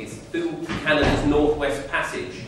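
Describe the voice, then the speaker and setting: A man speaks with strong room echo and light background noise. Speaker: speaker. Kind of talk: public talk.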